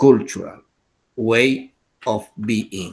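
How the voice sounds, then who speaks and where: A man's voice in an Andean accent, with ordinary pitch variation. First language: Quechua. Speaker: English teacher. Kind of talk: lecture.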